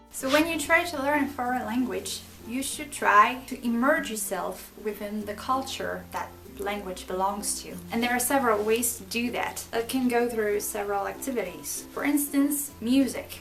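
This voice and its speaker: A woman with fairly high pitch and ordinary pitch variation at a moderate pace with hardly any pauses, over noticeable background noise and audible room echo. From France. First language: French. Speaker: language learning youtuber. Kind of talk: tutorial.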